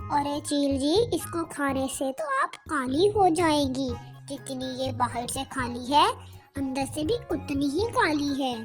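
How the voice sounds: Putting on a cartoonish character voice, a woman talks at a fairly slow pace with clear music in the background.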